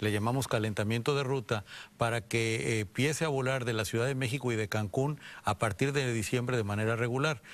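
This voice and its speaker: A man talks at a fairly quick pace with a medium pitch. His pitch varies in an ordinary way. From Mexico, Guadalajara; Jalisco, Mexico. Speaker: airport company executive; guest. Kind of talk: TV interview. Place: studio. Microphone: lapel.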